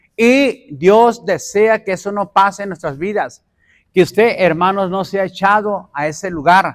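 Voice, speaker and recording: A man speaks with a high pitch. His pace is fairly slow. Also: ordinary pitch variation. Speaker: pastor. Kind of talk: sermon. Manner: call-and-response questioning.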